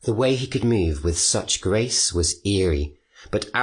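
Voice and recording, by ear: The intonation rises and falls in a lively way. Someone is reading aloud in a natural voice.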